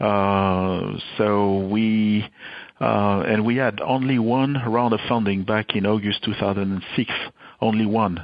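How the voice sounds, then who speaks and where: A man speaks in a French accent at a very slow pace. His loudness stays very even and his intonation fairly even. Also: fairly low pitch for a man. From France. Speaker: tech company CEO. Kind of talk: interview. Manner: halting, many fillers.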